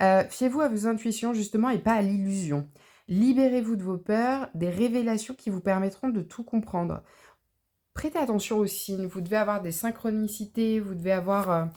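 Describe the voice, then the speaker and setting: A woman's medium-pitched voice, dark and mellow in tone, at a moderate pace with ordinary pitch variation, in a very clean recording with a silent background. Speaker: tarot card reader. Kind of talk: spiritual tarot reading. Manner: hesitant, many fillers.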